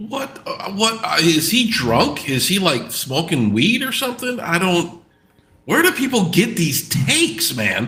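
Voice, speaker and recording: A man with an American accent speaks in a raised, projected voice, high-pitched and swinging very widely. He goes at a fairly slow pace over noticeable background noise. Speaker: sports podcast co-host. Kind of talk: casual sports chat. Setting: live stream. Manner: halting, many repeats.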